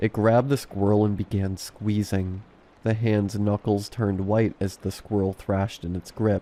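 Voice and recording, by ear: A natural voice reading aloud.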